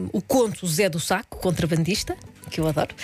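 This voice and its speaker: Noticeable background noise behind a woman's medium pitch with ordinary pitch variation. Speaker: radio cultural events contributor. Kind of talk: radio chat with event recommendations.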